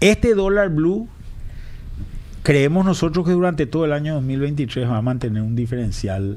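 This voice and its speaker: Speaking at a moderate pace, a man uses a dark, mellow tone with very wide pitch swings. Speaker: economist, former finance minister. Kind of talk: radio interview.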